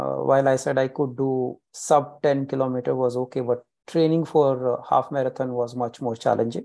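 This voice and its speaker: The delivery is monotone and flat at a moderate pace, with hardly any pauses. The tone is dark and mellow, with an Indian accent. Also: man, medium pitch for a man. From India, Haryana. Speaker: amateur marathon runner. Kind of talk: casual interview chat.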